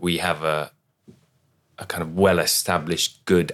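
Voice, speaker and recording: A fairly slow London accent in a flat monotone. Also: man. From London, East London. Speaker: city architect. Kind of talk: panel discussion.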